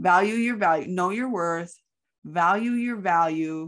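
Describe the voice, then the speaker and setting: A woman at a medium pitch talks fairly slowly with ordinary pitch variation, over a quiet background. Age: 60s. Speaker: podcast co-host. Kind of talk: casual chat.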